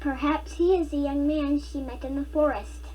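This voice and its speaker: Someone performs a put-on character voice at a moderate pace. Background noise is clearly audible. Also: female-sounding voice. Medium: read story. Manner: gentle, practical.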